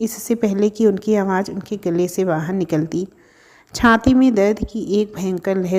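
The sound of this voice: What we hear is an unforced reading voice.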